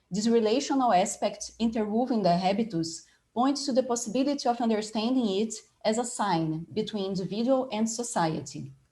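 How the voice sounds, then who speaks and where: A woman with a Portuguese accent speaks at a fairly quick pace and a fairly high pitch, with lively intonation. Her voice is somewhat breathy with a dark, mellow tone, and the room echo is audible. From Brazil, Rio de Janeiro. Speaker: design professor and panel moderator. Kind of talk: academic conference presentation.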